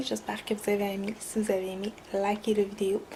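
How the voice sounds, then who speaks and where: Noticeable background noise around a woman speaking at a fairly slow pace. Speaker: beauty vlogger. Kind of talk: makeup tutorial vlog. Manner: casual, hesitant with many fillers.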